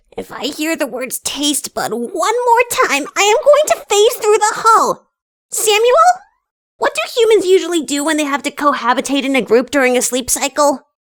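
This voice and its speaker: In a put-on character voice, the speaker sounds squeaky and extremely high, with very wide pitch swings and a moderate pace. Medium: audio drama. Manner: blunt, impatient.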